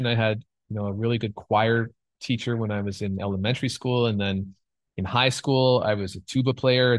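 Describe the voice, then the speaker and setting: In a Canadian accent, a man speaks in a normal speaking voice at a moderate pace, his medium pitch showing ordinary pitch variation. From Canada. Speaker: film composer. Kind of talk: casual interview chat.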